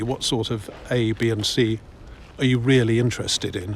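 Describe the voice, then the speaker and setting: With an English accent, a man speaks in a somewhat breathy voice and a monotone, flat intonation. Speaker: walking vlogger. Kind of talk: casual walking commentary. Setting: outdoors.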